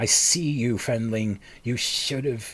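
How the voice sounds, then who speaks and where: A man's put-on character voice, hissing, at medium pitch and a fairly slow pace. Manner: menacing, hissing.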